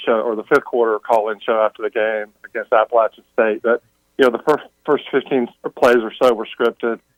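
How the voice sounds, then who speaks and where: A man's normal speaking voice at medium pitch, fairly quick, with fairly even intonation and a dry, close sound with no echo. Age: 60s. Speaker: caller, football fan. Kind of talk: radio call-in question.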